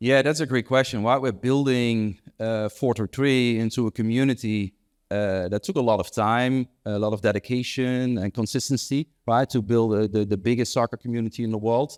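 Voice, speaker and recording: A man with a Dutch accent speaks at medium pitch and a moderate pace, with fairly even intonation. The recording is very clean with a silent background, dry and close with no echo. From Netherlands, Amsterdam. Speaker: entrepreneur and investor. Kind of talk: panel interview. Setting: stage with audience. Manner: smooth.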